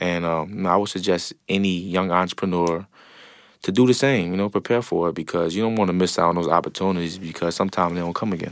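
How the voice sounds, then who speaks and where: Very deep and low in pitch, a man with a New Orleans accent talks at a very fast pace with fairly even intonation in a very clean recording with a silent background. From New Orleans, Louisiana. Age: 20s. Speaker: entrepreneur, restaurant owner. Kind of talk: interview.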